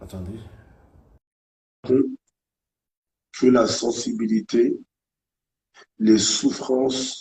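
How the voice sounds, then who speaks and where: A man's very slow delivery, dark and mellow in tone, with ordinary pitch variation. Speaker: live stream host. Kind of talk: live stream discussion. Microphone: connection glitching.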